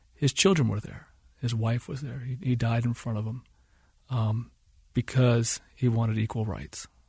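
A man talks at a fairly slow pace with an American accent. His tone is dark and mellow, and somewhat breathy. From US South. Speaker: filmmaker. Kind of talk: interview. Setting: studio.

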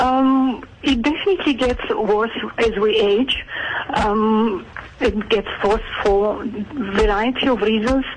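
The speaker has a Georgian accent and talks at a fairly slow pace. Noticeable background noise is present. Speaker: aesthetic clinic doctor. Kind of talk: radio interview. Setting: phone call.

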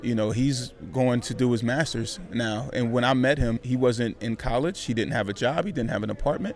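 A man's normal speaking voice at a medium pitch, with ordinary pitch variation, a moderate pace and hardly any pauses. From California (Vallejo). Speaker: motivational speaker and podcaster. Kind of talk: interview.

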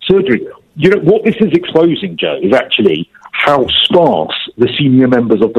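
This man speaks with a London accent at a fairly quick pace. His pitch swings very widely. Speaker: TV presenter and royal commentator. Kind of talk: interview.

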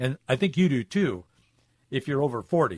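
A man speaks with a fairly high pitch. His voice is somewhat breathy over a quiet background. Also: dry, close sound with no echo. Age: 40s. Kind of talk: radio commentary monologue.

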